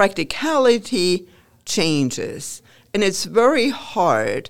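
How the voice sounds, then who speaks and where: A woman with a German accent speaks at a very slow pace, her pitch swinging very widely. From Germany. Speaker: professor. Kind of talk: interview.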